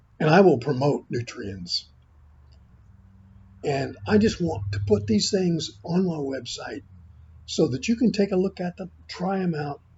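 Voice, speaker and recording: With very wide pitch swings and vocal fry, a man of fairly high pitch speaks at a fairly slow pace, leaving long, frequent pauses. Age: 80s+. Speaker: health video creator. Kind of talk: informal product talk to camera. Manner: halting.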